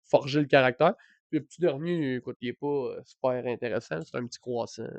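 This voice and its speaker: A man with a Quebec accent talks at a fairly quick pace with ordinary pitch variation and big swings in loudness, recorded with a dry, close sound, no echo and a quiet background. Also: medium pitch for a man. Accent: Québécois French. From Quebec, Mauricie (Trois-Rivières area). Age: 20s. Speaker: content creator. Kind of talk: casual chat. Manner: halting, many fillers.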